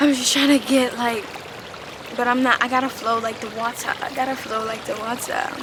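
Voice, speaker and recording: The speech comes at a fairly quick pace with fairly even intonation. Audible room echo and noticeable background noise fill the recording. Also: woman, high pitch for a woman. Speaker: spiritual vlogger. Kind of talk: personal vlog monologue.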